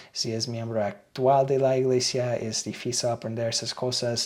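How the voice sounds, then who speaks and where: A man speaks with a non-native accent at a fairly slow pace. His pitch is medium, and his intonation is monotone and flat. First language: English (speaking Spanish). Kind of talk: reading aloud with commentary.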